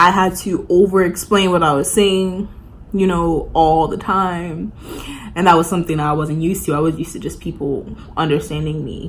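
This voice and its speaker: A woman in a New York accent with fairly even intonation over noticeable background noise. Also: fairly low pitch for a woman, moderate pace. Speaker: college student vlogger. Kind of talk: casual chat. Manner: casual, filler-heavy.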